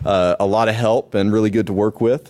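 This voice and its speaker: A man's fairly low-pitched voice with an American accent, dark and mellow in tone, with fairly even intonation. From Nashville, US South. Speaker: conference speaker, security professional. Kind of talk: conference talk. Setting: stage with audience. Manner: many fillers, um and uh.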